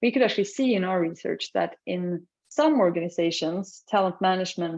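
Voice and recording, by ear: Her voice is fairly low for a woman, with a slightly mellow tone. The pitch moves with ordinary variation.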